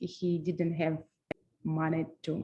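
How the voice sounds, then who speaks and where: A woman speaks in a Russian accent. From Transnistria. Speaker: floral designer and business owner. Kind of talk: webinar presentation. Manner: halting, many fillers.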